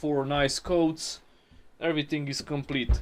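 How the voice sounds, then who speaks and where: A man speaks with a non-native accent. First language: not English. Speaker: car restoration youtuber. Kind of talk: tutorial. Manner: casual.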